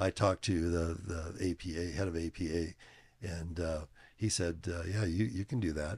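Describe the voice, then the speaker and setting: Recorded very cleanly against a silent background, a man with a very deep, low pitch sounds somewhat breathy as he talks at a moderate pace with fairly even intonation. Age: 70s. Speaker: fitness equipment company executive and powerlifter. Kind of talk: casual interview. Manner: hesitant, many filler words.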